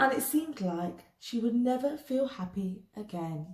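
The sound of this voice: A woman speaks at a fairly high pitch with a dark, mellow tone and lively intonation. Her pace is fairly slow, with audible room echo.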